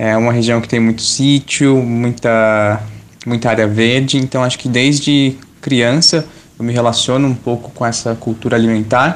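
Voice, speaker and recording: The man's pitch is medium. His intonation stays monotone and flat. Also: moderate pace. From São Paulo, Brazil (Parelheiros, south zone). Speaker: cook and journalist, editor. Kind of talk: scripted narration.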